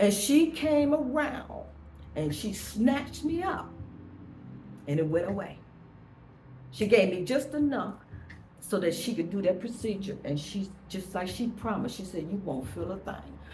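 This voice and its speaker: In a room with audible echo and music in the background, a woman at medium pitch speaks at a fairly slow pace with an animated tone, very wide pitch swings, and long, frequent pauses. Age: 70s. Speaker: vlogger. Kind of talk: personal monologue.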